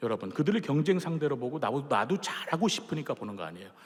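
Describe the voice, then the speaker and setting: This man speaks in a fairly high pitch. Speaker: opera tenor giving testimony. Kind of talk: church testimony.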